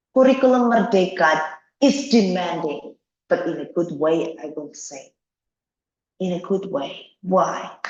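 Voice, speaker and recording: A woman with a Javanese accent speaks at a fairly slow pace, with lively intonation and big swings in loudness. Long, frequent pauses break up her speech, and audible room echo fills the recording. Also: medium pitch for a woman. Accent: Indonesian (Javanese) English. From Indonesia, Java. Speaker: education lecturer. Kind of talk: lecture. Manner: animated.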